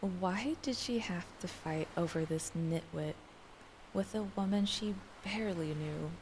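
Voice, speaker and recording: Soft-spoken and somewhat breathy, a woman talks fairly slowly at a fairly low pitch, with ordinary pitch variation. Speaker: streamer. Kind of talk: light novel reading.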